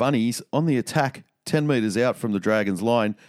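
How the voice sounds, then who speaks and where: Speaking at a moderate pace, a man with an Australian accent uses a medium pitch and ordinary pitch variation. His voice sounds dry and close with no echo, on a very clean recording with a silent background. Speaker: podcast co-host. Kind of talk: casual banter podcast.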